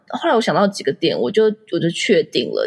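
A woman speaks very fast in a somewhat breathy voice. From Taiwan. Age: 30s. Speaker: entrepreneur and blogger. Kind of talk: interview.

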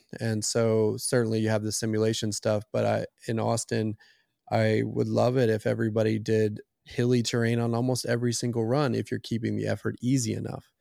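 A man speaks in an American accent at a fairly quick pace. His tone is dark and mellow. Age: 40s. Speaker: running coach. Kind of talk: interview.

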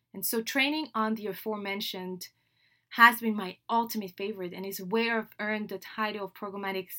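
Speaking at a moderate pace and medium pitch, a woman with a French accent has an animated tone that is bright and sharp. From Senegal (Dakar). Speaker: podcast host, digital marketing trainer. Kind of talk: solo podcast introduction monologue. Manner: animated, with laughs.

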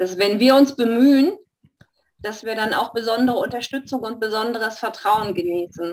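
A woman speaks in an ordinary speaking voice, fairly high-pitched, with ordinary pitch variation. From Stuttgart, Germany. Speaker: study group participant. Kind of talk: group discussion.

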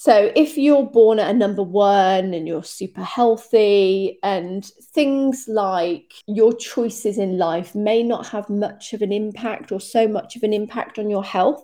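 A woman with a British accent, fairly high in pitch, with a dark, mellow tone, ordinary pitch variation, a fairly slow pace and hardly any pauses. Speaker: health and fitness coach podcast host. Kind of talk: solo podcast monologue. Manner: casual, chatty.

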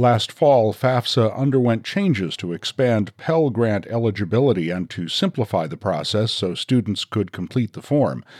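The recording is very clean, with a silent background. A man with a fairly low pitch and an ordinary speaking voice talks at a moderate pace with lively intonation. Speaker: news podcast host. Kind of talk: news reading.

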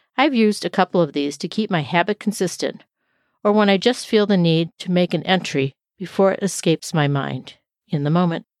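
A woman talks at a fairly quick pace with a fairly low pitch and ordinary pitch variation in a plain, everyday voice, with a dry, close sound and no echo. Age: 50s. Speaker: life and weight loss coach, podcast host. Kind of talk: solo podcast monologue.

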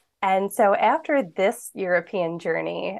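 A woman with an American accent talks at a medium pitch, her pitch varying in an ordinary way. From US, Philadelphia. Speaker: business coach. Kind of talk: casual interview chat.

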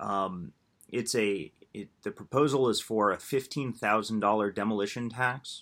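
A man's ordinary speaking voice, fairly low in pitch, at a moderate pace with ordinary pitch variation. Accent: American. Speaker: housing policy director, builders association. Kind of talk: casual interview.

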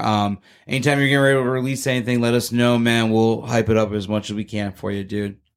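Flat, monotone speech from a man with an American accent at a very fast pace. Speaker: podcast host. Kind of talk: casual interview; scripted show intro.

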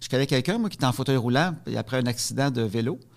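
A plain, everyday voice from a man, medium-pitched and lively in intonation at a fairly quick pace, on a very clean recording with a silent background. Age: 40s. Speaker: comedian and spousal caregiver. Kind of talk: testimony.

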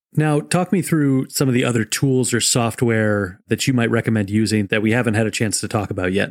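In a very clean recording with a silent background, a man with an unremarkable speaking voice talks at a fairly quick pace and medium pitch, with very even loudness, hardly any pauses and ordinary pitch variation. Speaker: podcast host. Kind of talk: interview.

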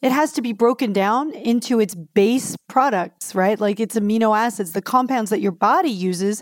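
Heard in a very clean recording with a silent background, a woman speaks in a plain, everyday voice at a fairly high pitch and moderate pace. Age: 50s. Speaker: clinical nutritionist. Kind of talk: interview.

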